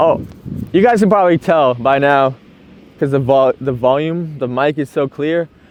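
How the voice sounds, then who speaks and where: A man's fairly high voice with ordinary pitch variation amid noticeable background noise. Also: moderate pace. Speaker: soccer training vlogger. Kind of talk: casual vlog talk. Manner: loud.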